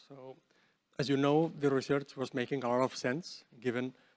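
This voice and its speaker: This man speaks with a Spanish accent at a fairly high pitch. His sound is dry and close, with no echo. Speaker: researcher. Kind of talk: lecture. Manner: halting.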